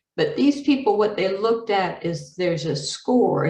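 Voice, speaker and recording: Lively in intonation and somewhat breathy, a woman speaks at a moderate pace. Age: 60s. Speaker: medical educator presenter. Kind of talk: webinar lecture. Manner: casual with many fillers.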